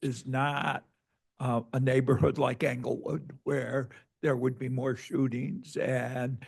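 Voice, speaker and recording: Here a man talks at a medium pitch with a dark, mellow tone. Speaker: academic event audience member asking questions. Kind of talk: Q&A discussion after presentation.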